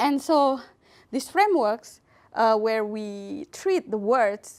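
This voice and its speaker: A woman speaks very slowly in a fairly high voice with an Indonesian accent. The recording is very clean, with a silent background. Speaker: computer science researcher. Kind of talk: lecture. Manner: hesitant, many fillers.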